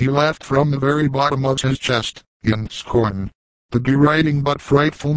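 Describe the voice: Plain reading aloud, with fairly even intonation, over a quiet background.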